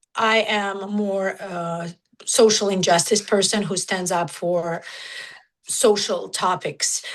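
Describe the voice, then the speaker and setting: A woman with a medium-pitched voice speaks very slowly and fairly evenly against a quiet background. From Georgia (country), raised in Russia. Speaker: nu-metal musician. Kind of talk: casual interview. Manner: halting, filler-heavy.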